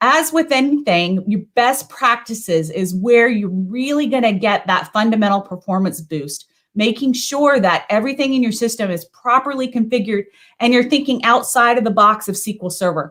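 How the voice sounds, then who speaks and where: A woman's fairly high, energetic voice with lively intonation. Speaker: conference speaker, database expert. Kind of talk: technical presentation. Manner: fast.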